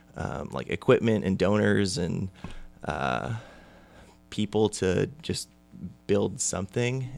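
A man with an American accent talks at a fairly low pitch with vocal fry. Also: very clean recording, silent background. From California. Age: 20s. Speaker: baseball academy founder and former college pitcher. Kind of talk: casual interview.

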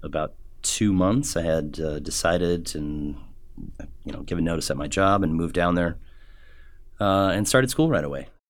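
A man with a very deep, low pitch, plus audible room echo. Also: ordinary pitch variation, moderate pace. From Omaha, Nebraska (US Midwest). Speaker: chef and culinary instructor. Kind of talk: casual interview. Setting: studio. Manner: hesitant, many fillers.

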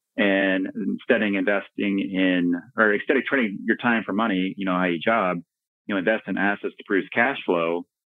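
In an ordinary speaking voice, a man talks at a moderate pace with an American accent. His pitch is fairly low and his intonation fairly even. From Texas, Dallas Fort Worth. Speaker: real estate investor. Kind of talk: interview.

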